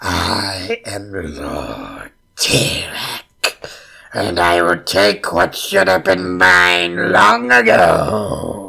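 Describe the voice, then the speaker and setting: A man's put-on character voice, raspy and very deep and low, at a very slow pace. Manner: menacing.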